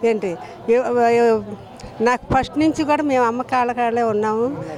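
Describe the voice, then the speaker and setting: A woman at a high pitch, with ordinary pitch variation and very even loudness, over noticeable background noise. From Vijayawada, Andhra Pradesh. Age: 70s. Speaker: temple devotee. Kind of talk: street interview answer. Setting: outdoors.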